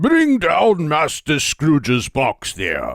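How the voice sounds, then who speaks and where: A put-on character voice talks at a very slow pace. The sound is dry and close, with no echo. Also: man. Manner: commanding.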